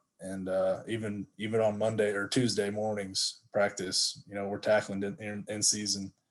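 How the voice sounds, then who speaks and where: A man's fairly low, monotone, flat voice at a moderate pace, with hardly any pauses. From Texas, Stephenville. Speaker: football coach, former college athlete. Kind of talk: casual interview chat.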